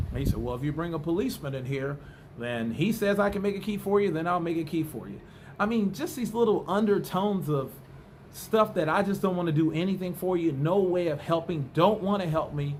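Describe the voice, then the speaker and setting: Speaking with an American accent, a man uses a high pitch and ordinary pitch variation at a fairly quick pace. Room echo is audible. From United States. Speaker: vlogger. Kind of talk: casual monologue vlog. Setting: indoors at home, bedroom. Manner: animated.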